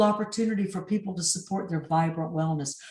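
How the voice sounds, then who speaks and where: Here a woman speaks at a medium pitch with ordinary pitch variation. She has a normal speaking voice. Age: 60s. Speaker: executive and life coach. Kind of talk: interview.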